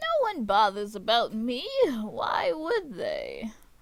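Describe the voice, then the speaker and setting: A woman uses a put-on character voice, pitched high. She speaks very slowly. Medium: solo performance. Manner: falsely sweet, sly.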